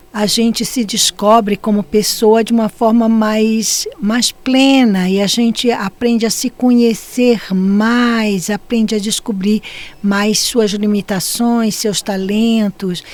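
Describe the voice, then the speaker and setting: A woman at a fairly high pitch, speaking at a very slow pace in a monotone, flat intonation, with hardly any pauses and very even loudness, over noticeable background noise. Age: 70s. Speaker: podcast guest. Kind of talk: conversational interview.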